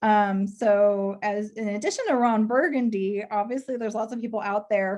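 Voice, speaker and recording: A woman with a slight Texas accent speaks at a moderate pace in a medium pitch. Her pitch varies in an ordinary way, and the background is quiet. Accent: slight Texas twang. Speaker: public relations professional. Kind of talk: career talk to students.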